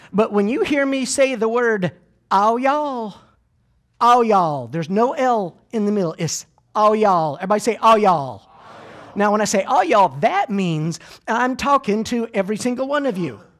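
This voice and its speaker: On a very clean recording with a silent background, a man with a high voice speaks at a moderate pace, his tone animated and his intonation lively. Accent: Southern US. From US South. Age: 30s. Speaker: motivational speaker. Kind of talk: keynote talk. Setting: stage with audience. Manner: energetic.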